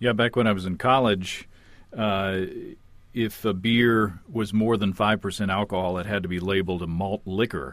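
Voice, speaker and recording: The pace stays moderate. It is an ordinary speaking voice. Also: man, fairly low pitch for a man. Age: 40s. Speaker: podcast host. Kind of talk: interview.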